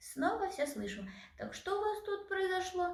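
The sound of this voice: A woman's put-on character voice at an extremely high pitch, big pitch swings, moderate pace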